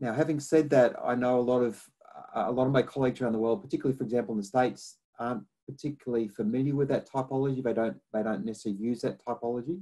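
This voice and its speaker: A man with a strong Australian accent, a dark, mellow tone, ordinary pitch variation and a very fast pace. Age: 50s. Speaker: academic researcher on climate adaptation. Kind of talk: lecture. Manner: halting, many repetitions and fillers.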